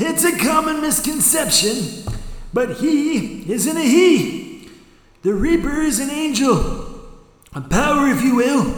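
A put-on character voice comes at a fairly slow pace with a clear echo. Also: man, extremely high pitch for a man. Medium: audio drama. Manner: folksy, chatty.

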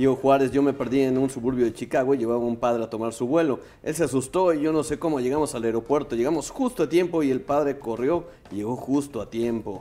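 A man's medium-pitched, dark and mellow voice at a very fast pace, with ordinary pitch variation. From Puebla, Mexico. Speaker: radio co-host. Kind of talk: casual chat.

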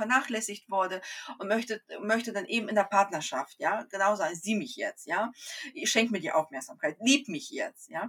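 Her pitch is fairly high and she keeps a moderate pace. The woman has a plain, everyday voice. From Kazakhstan, came to Germany at eight. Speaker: Human Design coach, mother of four. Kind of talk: casual interview.

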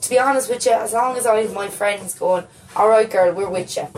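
A woman with a Waterford Irish accent talks at a moderate pace and a fairly high pitch. Her pitch variation is ordinary, with noticeable background noise. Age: 20s. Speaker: playwright. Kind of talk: casual chat.

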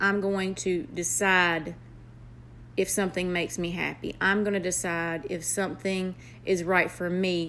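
Speaking fairly slowly with a Southern US accent, a woman at medium pitch keeps a flat, monotone intonation, her tone both warm and bright and sharp. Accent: Southern US, country. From North Carolina, US South. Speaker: aspiring motivational speaker, nurse. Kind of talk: motivational personal monologue to an app audience. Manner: earnest, warm, encouraging.

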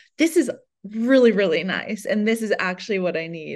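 A woman with a plain, everyday voice speaks in an American accent at a moderate pace. Her pitch varies in an ordinary way against a quiet background. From US Midwest. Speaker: artist and writer. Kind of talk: casual interview chat. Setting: video call.

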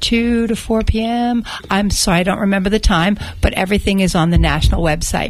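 Against noticeable background noise, a woman talks at a fairly quick pace in a medium pitch with fairly even intonation. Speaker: business owner and activist. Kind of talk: radio interview. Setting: studio.

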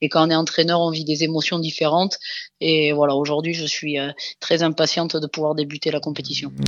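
At a fairly quick pace, a woman talks in a monotone, flat intonation. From France, Dordogne (southwest). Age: 30s. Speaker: rugby coach, former international player. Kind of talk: interview. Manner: halting, many repetitions and fillers.

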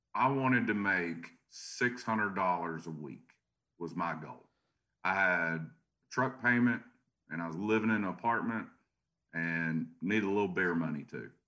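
In a Tennessee accent, a man with a very deep, low voice and a bright, sharp tone talks at a moderate pace with ordinary pitch variation and long, frequent pauses. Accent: Southern US (Tennessee). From US South, Chattanooga, Tennessee. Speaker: garage door business owner and franchisor. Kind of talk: podcast interview.

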